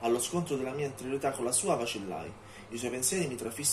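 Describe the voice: Simply plain reading aloud.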